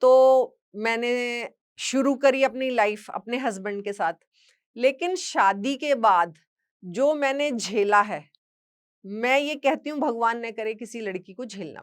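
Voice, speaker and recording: Her pitch is high, with ordinary variation, and her loudness swings widely. This woman is heard on a very clean recording with a silent background. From western Uttar Pradesh village near Haryana. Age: 60s. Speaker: social media creator and motivational speaker. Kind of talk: personal testimony talk.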